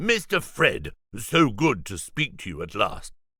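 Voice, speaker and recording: At a fairly slow pace, someone performs in a put-on character voice. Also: man, fairly high pitch for a man. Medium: read story. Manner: formal, pompous, precise.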